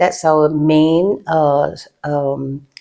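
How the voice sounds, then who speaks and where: This woman has a very deep, low pitch and a dark, mellow tone, and her intonation is fairly even. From Malaysia, Penang. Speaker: chef and food business owner. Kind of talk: interview conversation. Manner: hesitant, many fillers.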